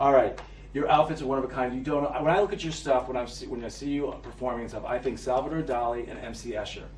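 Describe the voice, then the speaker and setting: A man with an American accent talks very fast, with big swings in loudness. Audible room echo and noticeable background noise surround him. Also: medium pitch for a man, ordinary pitch variation. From Boston. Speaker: talk show host. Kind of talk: interview. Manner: playful.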